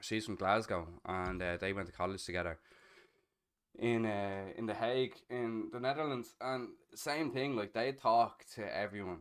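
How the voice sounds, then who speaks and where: In a very clean recording with a silent background, a man with a Dublin accent talks at a medium pitch with ordinary pitch variation. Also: moderate pace. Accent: Irish (Dublin). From Ireland (Dublin, Castleknock). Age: 30s. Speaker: streamer. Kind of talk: casual chat.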